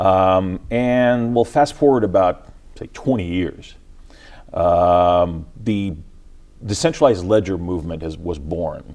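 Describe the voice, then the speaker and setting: With music in the background, a man in an American accent speaks at a very slow pace in a very deep, low pitch. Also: lively intonation. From Ukraine, then US from age twelve. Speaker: tech company CEO. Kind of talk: TV interview. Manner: hesitant, many fillers.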